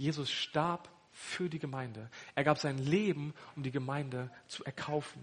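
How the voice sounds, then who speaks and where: This man's voice sits at a fairly high pitch. It is somewhat breathy. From northern Germany (Hannover). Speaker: pastor. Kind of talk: sermon.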